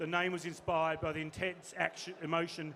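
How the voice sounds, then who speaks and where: This man has a bright, sharp tone and a fairly high pitch. He talks at a fairly quick pace with a slight Australian accent. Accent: slightly Australian. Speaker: panel moderator, games industry executive. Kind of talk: panel introduction. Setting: stage with audience. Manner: fast.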